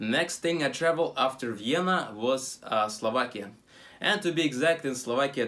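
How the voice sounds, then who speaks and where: The man's tone is bright and sharp. He speaks at a moderate pace with lively intonation. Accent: Russian. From Russia. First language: Russian. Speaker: travel vlogger. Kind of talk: casual travel vlog talk. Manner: halting, many fillers.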